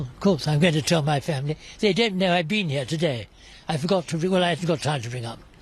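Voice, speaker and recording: Talking very fast, a man uses lively intonation at a fairly high pitch. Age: 80s+. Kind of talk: interview answer. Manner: chatty, wry.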